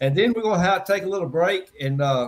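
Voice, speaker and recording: A man with an American accent and lively intonation. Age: 60s. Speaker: wrestling promoter. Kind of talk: casual chat. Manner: halting.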